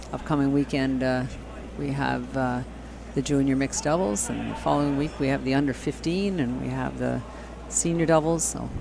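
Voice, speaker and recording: Through noticeable background noise and audible room echo, a man speaks at a fairly quick pace. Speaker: curling commentator. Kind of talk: live commentary. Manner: quiet at first, then louder.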